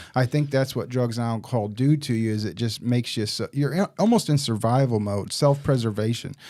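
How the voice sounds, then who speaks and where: A man with a Midwestern American accent talks at a fairly quick pace with hardly any pauses. His medium-pitched voice has a dark, mellow tone and ordinary pitch variation. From Southern Illinois, small town. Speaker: staffing business director and recovery advocate. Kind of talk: podcast interview, personal testimony. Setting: studio with cameras. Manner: casual, frequent fillers.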